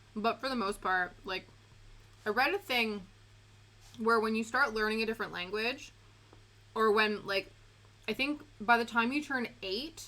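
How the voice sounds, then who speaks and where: A loud woman's fairly high voice in a Canadian accent, bright and sharp, at a moderate pace with long, frequent pauses and ordinary pitch variation. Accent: Canadian, some British words. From Canada. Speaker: streamer. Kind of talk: casual chat.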